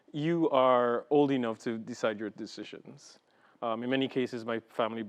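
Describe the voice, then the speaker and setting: A man's medium-pitched voice in an Antiguan accent, at a moderate pace with fairly even intonation. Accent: Caribbean (Antiguan) English. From Antigua and Barbuda, Caribbean. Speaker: executive director of a Pride organization. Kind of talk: interview.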